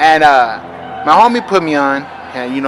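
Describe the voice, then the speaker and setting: Noticeable background noise sits under a man's fairly high voice with an American accent. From Los Angeles area. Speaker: interviewer. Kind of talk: interview. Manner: casual.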